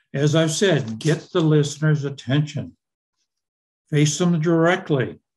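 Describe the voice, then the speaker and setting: A somewhat breathy voice moves at a fairly slow pace with very even loudness, long and frequent pauses, and fairly even intonation. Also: man, fairly high pitch for a man. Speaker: hearing loss advocate. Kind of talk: presentation. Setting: video call.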